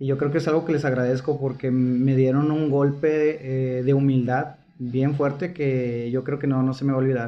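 Speaking fairly slowly, a man with a fairly high voice keeps a monotone, flat intonation. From Mexico, Monterrey. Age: 20s. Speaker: podcast host. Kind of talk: casual chat.

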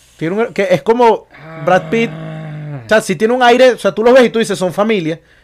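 Animated and quick, a man with a Caracas accent speaks at a high pitch with lively intonation. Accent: Venezuelan Spanish (Caracas). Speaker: podcast co-host. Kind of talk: casual chat.

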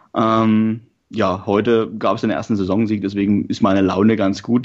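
The man's pitch is fairly low. His speaking pace is moderate. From Saxony, Germany. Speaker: football podcast co-host, journalist. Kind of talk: casual chat.

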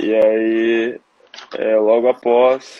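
Here a man talks at a medium pitch with monotone, flat intonation. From southern Brazil, Porto Alegre. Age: 20s. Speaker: long jump athlete. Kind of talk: interview testimony. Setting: Instagram live video call.

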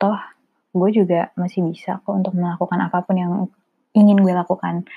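A woman speaks at a moderate pace in a medium pitch, her tone dark and mellow and somewhat breathy. The sound is dry and close, with no echo. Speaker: solo podcaster. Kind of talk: casual monologue. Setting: home recording. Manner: informal, code-switching.

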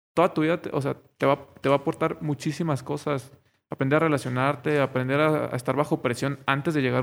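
Speaking with a Mexican accent, a man talks at a fairly quick pace with fairly high pitch and fairly even intonation, captured in a very clean recording with a silent background. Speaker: podcast co-host, medical student. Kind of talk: casual chat. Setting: wearing face mask.

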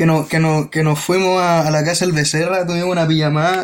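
A high-pitched man with a Chilean accent. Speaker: podcast host. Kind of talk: casual chat.

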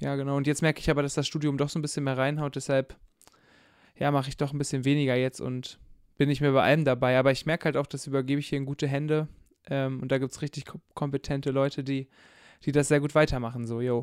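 A man talks at a very fast pace in a fairly high pitch, with long, frequent pauses and monotone, flat intonation. The recording is very clean, with a silent background. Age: 20s. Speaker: theology student and church youth worker. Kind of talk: casual chat.

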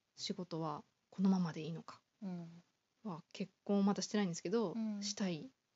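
Fairly quick speech broken by long, frequent pauses, somewhat breathy, with ordinary pitch variation and big swings in loudness. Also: woman, medium pitch for a woman. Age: 20s. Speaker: office worker guest. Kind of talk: casual interview. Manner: halting.

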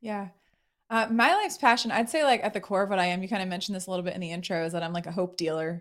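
A woman talks at a very fast pace in a medium pitch with ordinary pitch variation. The recording is very clean, with a silent background. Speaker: speaker and workshop facilitator. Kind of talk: interview.

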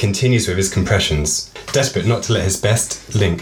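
The clip features a natural reading voice. It is used throughout.

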